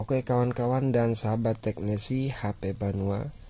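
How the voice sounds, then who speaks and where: The man's tone is dark and mellow, somewhat breathy. He speaks at a fairly slow pace with ordinary pitch variation. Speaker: phone repair technician. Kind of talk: tutorial.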